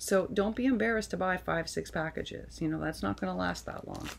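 Light background noise sits behind a woman speaking. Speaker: vlogger. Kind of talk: casual vlog chat. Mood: warm, grateful. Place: home room. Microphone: webcam.

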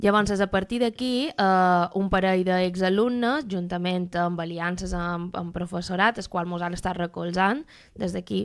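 A woman with an ordinary speaking voice and a medium pitch talks at a moderate pace on a very clean recording with a silent background. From Mallorca. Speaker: doctoral student and activist. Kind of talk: radio interview.

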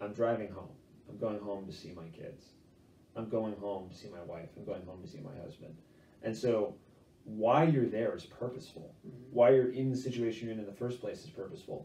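A man talks fairly quickly in a somewhat breathy voice with a dark, mellow tone. His loudness swings widely, and audible room echo surrounds him. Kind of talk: interview answer. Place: home room. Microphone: camera far.

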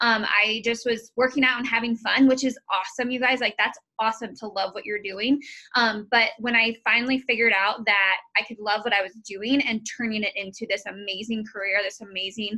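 A woman talks at a fairly quick pace, with a quiet background behind her. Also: fairly even intonation. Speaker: team coach. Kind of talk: motivational team call talk. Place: home room. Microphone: video call.

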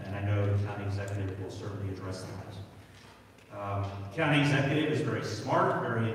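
Strong room echo and light background noise surround a man speaking at a fairly low pitch. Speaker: county councilman. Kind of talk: town hall speech. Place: hall.

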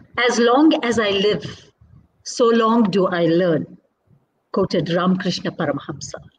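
A woman speaks with very even loudness and a somewhat breathy quality. Light background noise sits behind her. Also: lively intonation, moderate pace. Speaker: interviewer and dance teacher. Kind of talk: interview. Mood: warm, respectful. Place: home room. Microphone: video call.

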